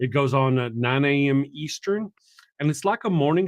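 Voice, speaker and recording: A man with a Texan accent speaks with ordinary pitch variation. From Texas. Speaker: atheist YouTuber, show host. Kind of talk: interview, casual chat.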